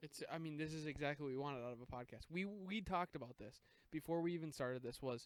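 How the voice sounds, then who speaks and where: Mumbling at a very fast pace, a man speaks with ordinary pitch variation. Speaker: comedy podcast co-host. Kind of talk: casual chat. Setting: outdoors on a deck.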